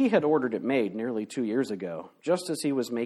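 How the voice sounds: Just a natural reading voice.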